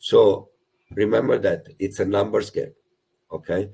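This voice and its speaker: The speaker has a strong Italian accent. The pace is moderate. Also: man. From Italy. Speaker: property investment coach. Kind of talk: webinar presentation. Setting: online webinar. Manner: animated.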